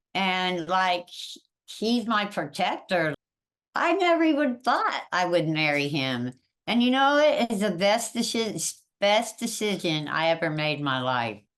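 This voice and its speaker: Here a woman speaks at a medium pitch and a fairly slow pace. Her pitch swings very widely. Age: 60s. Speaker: interviewee, social media creator. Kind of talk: interview.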